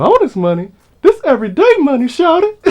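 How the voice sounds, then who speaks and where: Putting on a character voice, the man speaks extremely high and at a fairly quick pace. His pitch swings very widely. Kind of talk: casual slang. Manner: imitating his distinctive voice.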